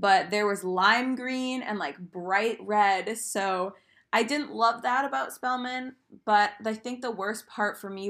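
A woman with an American accent and a normal speaking voice, medium in pitch, with ordinary pitch variation. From US, Maine. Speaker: college student. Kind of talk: casual chat.

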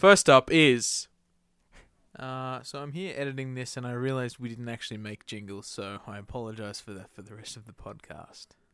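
A man with an Australian accent and a bright, sharp tone speaks at a moderate pace, with ordinary pitch variation and big swings in loudness, in a very clean recording with a silent background. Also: medium pitch for a man. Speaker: podcast co-host and band musician. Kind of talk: casual chat. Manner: animated.

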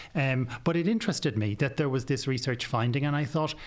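A man with an Irish accent, somewhat breathy, medium in pitch, at a very fast pace, on a very clean recording with a silent background. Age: 40s. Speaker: psychiatrist and author. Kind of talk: interview.

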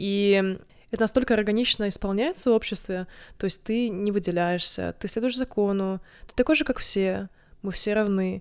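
In a very clean recording with a silent background, a woman at medium pitch shows ordinary pitch variation and big swings in loudness. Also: moderate pace. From Estonia, Narva (Russian-speaking). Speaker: podcast co-host. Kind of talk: casual chat. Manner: hesitant, with filler sounds.

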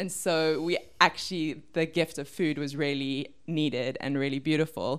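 At a moderate pace, a woman speaks with fairly even intonation in a very deep, low pitch. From Cape Town, South Africa. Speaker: missionary and community worker. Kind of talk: interview.

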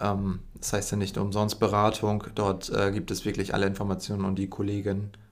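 The man talks in a fairly low pitch with monotone, flat intonation. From northern Germany, Emden (East Frisia). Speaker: university student. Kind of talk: casual podcast chat.

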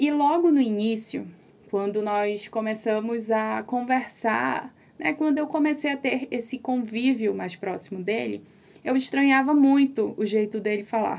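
A woman talks fairly slowly in a fairly high pitch, her pitch varying in an ordinary way. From Brazil, interior of Amazonas (Tabatinga). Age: 30s. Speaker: podcast host. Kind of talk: casual chat. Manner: animated.

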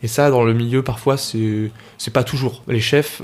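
The man talks at a very slow pace with fairly even intonation. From Paris region, France (Argenteuil). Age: 20s. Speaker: opera tenor singer. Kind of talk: casual interview chat. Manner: casual, slangy with many hesitations.

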